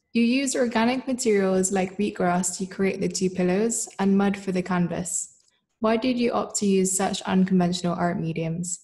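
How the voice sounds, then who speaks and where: A somewhat breathy woman's voice, dark and mellow in tone, with fairly even intonation over a quiet background. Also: moderate pace. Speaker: gallery moderator. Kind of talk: interview. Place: home room. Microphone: webcam.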